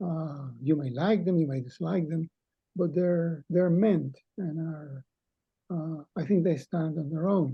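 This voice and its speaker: A man with a Cuban accent speaks fairly slowly, his voice fairly high and his intonation fairly even. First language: Spanish. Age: 80s+. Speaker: poet. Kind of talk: casual discussion.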